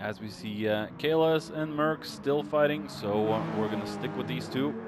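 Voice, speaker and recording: A man speaks at a fairly low pitch with very wide pitch swings, over noticeable background noise. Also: moderate pace. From Norway. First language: Norwegian. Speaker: sim racing commentator. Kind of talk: live commentary. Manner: halting, many fillers.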